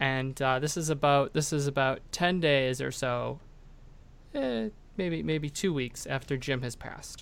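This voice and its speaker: The speaker has a plain, everyday voice. The pace is fairly slow, with ordinary pitch variation. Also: man, fairly high pitch for a man. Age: 30s. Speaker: podcast host, attorney. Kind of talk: casual chat.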